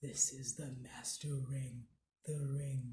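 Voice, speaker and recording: A man puts on a character voice at a medium pitch. He delivers it at a very slow pace. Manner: slow, solemn.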